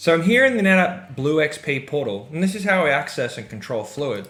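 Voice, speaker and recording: A man's fairly high voice, upbeat in tone, with very wide swings in pitch. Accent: Australian. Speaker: software product presenter. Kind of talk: product demo tutorial. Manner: casual, upbeat.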